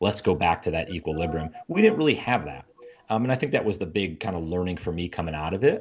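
A man with a very deep, low voice talks at a very fast pace with lively intonation. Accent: American. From upstate New York. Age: 30s. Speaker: entrepreneur and podcaster. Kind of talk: casual interview conversation.

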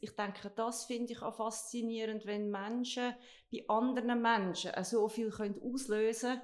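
A woman talks at a moderate pace with fairly high pitch. Noticeable background noise runs underneath. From central Switzerland (Obwalden). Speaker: director of a training campus and hotel. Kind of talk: podcast interview.

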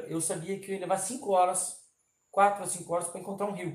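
A man's voice with audible echo from the room. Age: 40s. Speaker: trail runner and race safety team chief. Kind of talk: casual interview. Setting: live stream.

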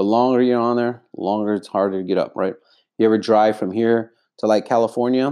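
A man's medium-pitched voice, monotone and flat in intonation, at a fairly quick pace. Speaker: motivational podcast host. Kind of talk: casual motivational monologue.

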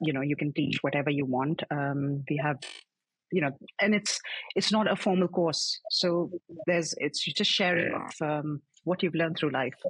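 Her voice is very deep and low for a woman, with ordinary pitch variation. She speaks at a moderate pace. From India, New Delhi. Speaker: startup founder. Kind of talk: interview.

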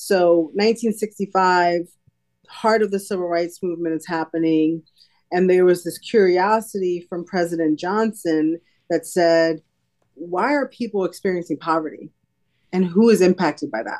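A woman with a normal speaking voice talks at a moderate pace in an American accent. Her pitch is fairly low, with ordinary variation. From Brooklyn, New York City. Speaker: nonprofit executive. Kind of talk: interview.

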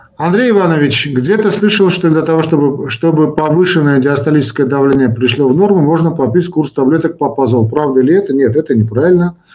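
A man's fairly high voice at a fairly quick pace, with ordinary pitch variation, very even loudness, hardly any pauses, and noticeable background noise. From Armenia, Yerevan. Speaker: cardiologist, medical professor. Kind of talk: live stream Q&A. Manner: animated.

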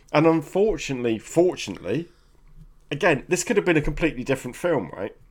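A man with a British accent, fairly high pitch and lively intonation, on a very clean recording with a silent background. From Britain. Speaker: film podcast co-host. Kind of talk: casual chat.

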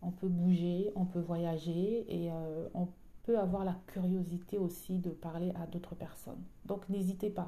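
Her fairly low, somewhat breathy voice has a dark, mellow tone. The woman speaks very slowly in a flat monotone. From French-speaking country. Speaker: podcaster. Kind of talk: casual spoken reflection. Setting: at home, dining room. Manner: soft-spoken; hesitant.

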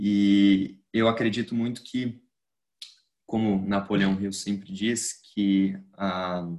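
The intonation is monotone and flat. The pace is very slow. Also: man, fairly low pitch for a man. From Brazil. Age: 20s. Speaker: newsletter founder and student. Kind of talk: casual interview.

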